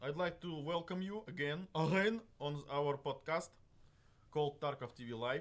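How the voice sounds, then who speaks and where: With a Russian accent, a man speaks at a moderate pace in a fairly high pitch. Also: ordinary pitch variation. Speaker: game developer livestream host. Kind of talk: livestream talk. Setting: live stream studio. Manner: halting, many fillers.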